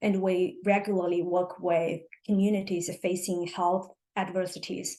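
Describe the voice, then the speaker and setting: A woman with a Chinese accent speaks fairly slowly at a medium pitch, her tone dark and mellow and her intonation monotone and flat. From China. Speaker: cancer researcher and health equity advocate. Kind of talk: podcast interview. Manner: halting.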